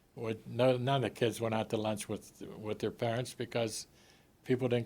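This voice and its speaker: With fairly even intonation, a man talks in a medium pitch at a moderate pace. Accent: Pittsburgh. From Pittsburgh, western Pennsylvania. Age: 70s. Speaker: sports writer and author. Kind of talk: interview.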